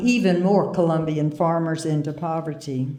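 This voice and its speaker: This is a woman speaking. Audible room echo surrounds her voice. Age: 80s. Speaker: retired peace activist. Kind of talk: award acceptance speech.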